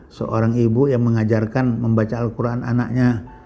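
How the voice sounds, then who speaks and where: A man at a medium pitch and moderate pace, with music in the background. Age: 60s. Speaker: Islamic preacher. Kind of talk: religious talk.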